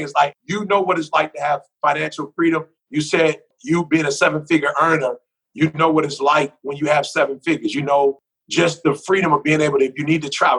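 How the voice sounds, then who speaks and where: A man with a normal speaking voice talks at a fairly quick pace and fairly high pitch with fairly even intonation, the sound dry and close with no echo. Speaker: motivational speaker. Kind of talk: podcast interview answer.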